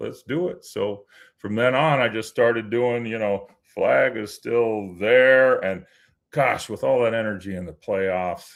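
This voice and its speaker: A man talks fairly slowly at a medium pitch, with ordinary pitch variation. His is an unremarkable speaking voice. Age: 50s. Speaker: anthem singer at hockey games. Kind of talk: casual interview chat. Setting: live show.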